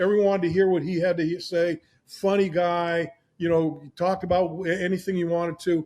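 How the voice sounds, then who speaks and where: Over a quiet background, a man with a high pitch talks at a fairly quick pace in a monotone, flat intonation. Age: 70s. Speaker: podcast host, former football player. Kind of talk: casual chat. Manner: halting, many fillers and restarts.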